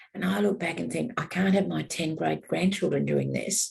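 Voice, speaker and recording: A woman's fairly low pitch with vocal fry and fairly even intonation. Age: 70s. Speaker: elder activist. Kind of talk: panel discussion.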